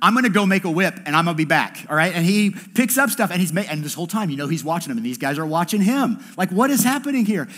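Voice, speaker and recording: A man with a high voice talks at a very fast pace, with hardly any pauses. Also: lively intonation. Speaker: campus pastor. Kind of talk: sermon. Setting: church service with congregation. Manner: casual, conversational.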